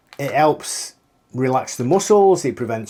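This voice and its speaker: In a British accent, a man with a fairly high pitch talks at a fairly slow pace with lively intonation. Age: 50s. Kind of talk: casual talk to camera.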